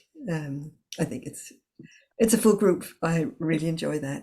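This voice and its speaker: The voice is somewhat breathy, with a dark, mellow tone. Its pace is fairly slow. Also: woman. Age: 60s. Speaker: communication trainer and coach. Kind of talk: online workshop. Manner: halting.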